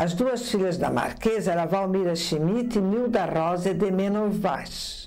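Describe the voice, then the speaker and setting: Against noticeable background noise, a woman with a medium-pitched voice speaks at a fairly slow pace with hardly any pauses, very even loudness and ordinary pitch variation. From São José, Santa Catarina, southern Brazil. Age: 70s. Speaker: former amateur theatre actress. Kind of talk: interview testimony.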